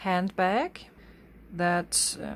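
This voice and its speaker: Someone speaks with a German accent over noticeable background noise. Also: woman. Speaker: craft artist. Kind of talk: craft tutorial talk.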